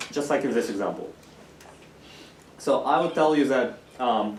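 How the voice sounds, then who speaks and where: A man with a non-native accent talks at a moderate pace and fairly high pitch, with ordinary pitch variation and audible room echo. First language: not English. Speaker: university course lecturer. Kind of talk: lecture. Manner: casual, with filler words.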